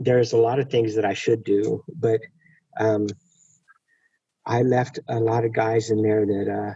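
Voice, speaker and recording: A man with a dark, mellow, somewhat breathy tone speaks at medium pitch and a fairly slow pace. His intonation is monotone and flat. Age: 60s. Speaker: prison reform advocate, former prisoner. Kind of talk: webinar conversation. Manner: halting, many fillers and repeats.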